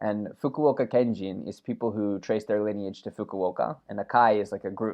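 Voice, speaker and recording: Here a man talks in a plain, everyday voice at a fairly low pitch, with hardly any pauses. His pace is moderate and his intonation fairly even. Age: 30s. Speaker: podcast co-host and event MC. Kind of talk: casual chat.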